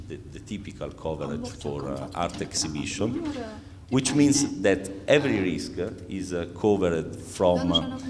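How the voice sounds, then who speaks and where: A man with an Italian accent speaks with lively intonation and a very deep, low pitch. Audible room echo and noticeable background noise come through. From Italy, Rome. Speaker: insurance executive. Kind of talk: conference talk. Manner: halting, many fillers.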